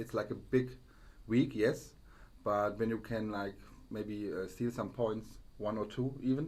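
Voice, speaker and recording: A man with a German accent, fairly low in pitch, at a fairly slow pace with fairly even intonation. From Germany. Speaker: football podcast co-host. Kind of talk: casual chat. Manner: halting.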